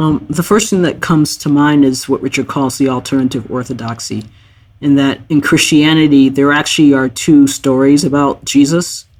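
A man with a plain, everyday voice and fairly high pitch talks at a moderate pace with fairly even intonation. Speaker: podcast co-host. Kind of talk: casual reflective conversation.

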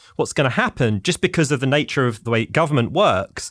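Talking at a fairly quick pace, a man with a London accent uses a fairly high pitch and very wide pitch swings. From London, England. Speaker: academic or policy researcher. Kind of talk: interview discussion.

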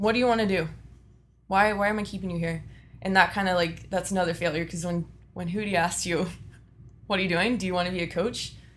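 Speaking very fast with a Texan accent, a woman at medium pitch keeps her intonation fairly even and leaves long, frequent pauses. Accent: Texan American. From Texas (Austin area). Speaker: strength and conditioning coach. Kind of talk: interview.

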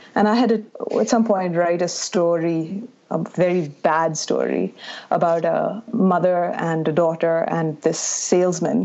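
A woman speaks at a fairly slow pace with a fairly low pitch, fairly even intonation and very even loudness, over noticeable background noise. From India, Bangalore. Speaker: novelist. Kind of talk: interview. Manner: halting.

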